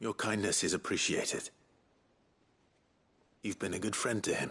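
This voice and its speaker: Using a put-on character voice, a man of medium pitch speaks in a calm tone at a moderate pace. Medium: video game. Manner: calm, earnest, soft-spoken.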